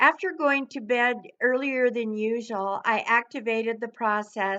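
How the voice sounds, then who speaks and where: Over a quiet background, a woman speaks with a bright, sharp tone. Her pace is moderate and her pitch variation ordinary. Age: 70s. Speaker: product user giving a testimonial. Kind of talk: testimony. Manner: formal.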